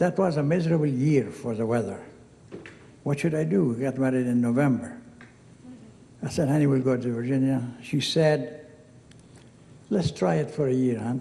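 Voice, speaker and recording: At a moderate pace, a man speaks at a medium pitch in a dark, mellow, somewhat breathy voice with ordinary pitch variation and audible room echo. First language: Arabic. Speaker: hall of fame inductee. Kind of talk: acceptance speech. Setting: stage with audience. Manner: casual, digressive storytelling.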